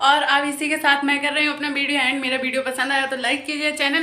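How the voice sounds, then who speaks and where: A woman projects her voice loudly, with noticeable noise in the background. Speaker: home vlogger. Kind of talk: casual vlog chat. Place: home room. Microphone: phone near.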